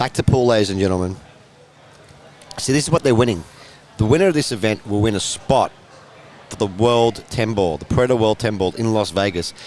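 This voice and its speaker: A man with an Australian accent and fairly low pitch, fairly quick pace, ordinary pitch variation, long, frequent pauses, and noticeable background noise. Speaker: pool commentator. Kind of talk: live sports commentary. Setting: commentary booth. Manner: loud.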